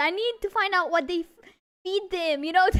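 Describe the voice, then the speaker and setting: In an animated tone, a woman with a non-native accent speaks with ordinary pitch variation. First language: not English. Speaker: vtuber singer and streamer. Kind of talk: livestream chat. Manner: halting, many restarts.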